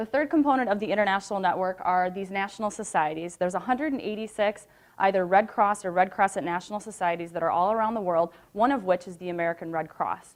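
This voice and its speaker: A woman's medium-pitched voice, very fast, with hardly any pauses and ordinary pitch variation. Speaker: nonprofit program manager. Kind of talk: presentation. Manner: loud.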